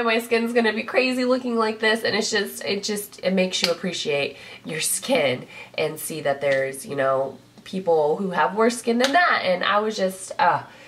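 Against noticeable background noise, a woman speaks at a moderate pace in an animated tone, her medium pitch swinging very widely. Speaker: beauty vlogger. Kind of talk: casual talk to camera. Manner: chatty, animated.

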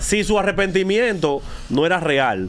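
A man's high-pitched voice. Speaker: radio host. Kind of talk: heated debate. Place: studio. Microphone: studio mic.

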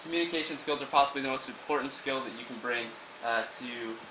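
Over noticeable background noise, a man talks at a very fast pace. His pitch moves in an ordinary way. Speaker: presenter. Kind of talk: class presentation. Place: classroom. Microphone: camera far.

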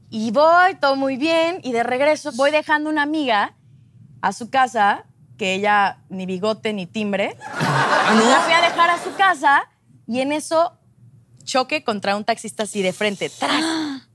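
Her voice is high for a woman and moves through very wide pitch swings. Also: fairly slow pace. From Mexico, Acapulco. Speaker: telenovela actress. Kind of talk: casual talk show interview. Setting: studio with audience. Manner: animated. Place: studio.

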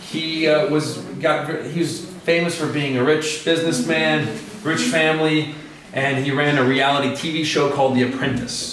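A man talks at a moderate pace and a fairly high pitch, with ordinary pitch variation. There is audible room echo and light background noise. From USA. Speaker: English teacher, Fulbright fellow. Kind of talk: lecture. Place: classroom. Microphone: camera far.

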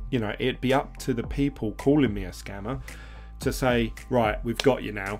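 Faint music sits in the background as a man talks at a moderate pace. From UK. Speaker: crypto YouTuber. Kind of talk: casual, conversational. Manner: monotone, sensible.

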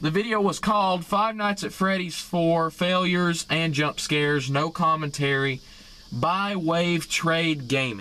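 A man speaks at a fairly slow pace with ordinary pitch variation. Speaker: gaming reaction vlogger. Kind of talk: casual vlog chat. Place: car. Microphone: phone near.

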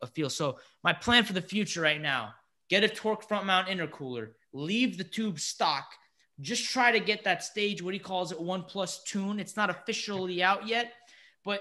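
A man's raised, projected voice, bright and sharp in tone, at a moderate pace with ordinary pitch variation against a quiet background. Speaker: car enthusiast podcast host. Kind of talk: casual podcast chat. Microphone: studio mic.

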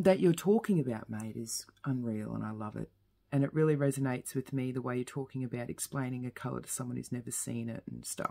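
Soft-spoken at a very fast pace, a woman uses a very deep, low pitch and a dark, mellow tone, with ordinary pitch variation and big swings in loudness over a quiet background. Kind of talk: casual vlog chat. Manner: drowsy, heavy-eyed soft talk. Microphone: phone near.

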